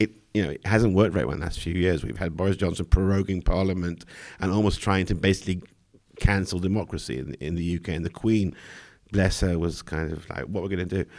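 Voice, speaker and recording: This man talks at a very fast pace in a British accent. His pitch is very deep and low, with fairly even intonation. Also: very clean recording, silent background. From Britain. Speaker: political journalist. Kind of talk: live Q&A analysis.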